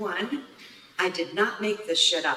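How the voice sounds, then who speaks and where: A woman with an American accent talks at a fairly high pitch over noticeable background noise. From US Midwest, Upper Peninsula of Michigan. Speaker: storyteller. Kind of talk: personal storytelling performance.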